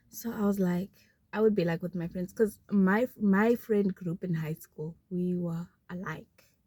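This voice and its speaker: A somewhat breathy woman at a medium pitch and a fairly slow pace, with a dark, mellow tone and a dry, close sound with no echo. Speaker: vlogger. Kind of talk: casual chat.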